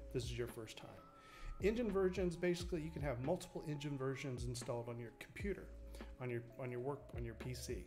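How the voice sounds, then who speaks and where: A man talks at a very fast pace, with music in the background and audible room echo. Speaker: game developer streamer. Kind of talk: tutorial. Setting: live stream. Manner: halting.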